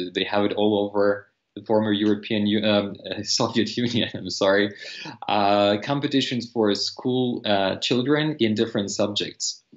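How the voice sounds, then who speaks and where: At a fairly slow pace, the speaker talks with a Russian accent and fairly even intonation over a quiet background. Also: man, fairly low pitch for a man. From eastern Ukraine. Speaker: language teacher and polyglot. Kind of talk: casual interview. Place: home room. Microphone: video call.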